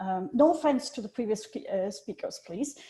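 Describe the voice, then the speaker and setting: A woman's dark, mellow, somewhat breathy voice at a moderate pace. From Switzerland. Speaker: journal editor. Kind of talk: presentation.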